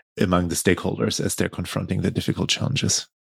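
The recording is very clean with a silent background and a dry, close sound with no echo. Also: man. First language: not English. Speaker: podcast host. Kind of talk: scripted intro then interview conversation.

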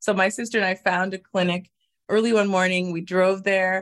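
Moving at a moderate pace, a woman talks in an unremarkable speaking voice. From Canada. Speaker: immigration lawyer. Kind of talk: casual interview.

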